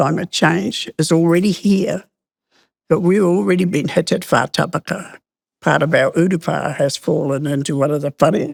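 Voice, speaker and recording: The voice carries vocal fry, moving at a moderate pace with ordinary pitch variation. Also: woman. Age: 80s+. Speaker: community elder and activist. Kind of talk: interview.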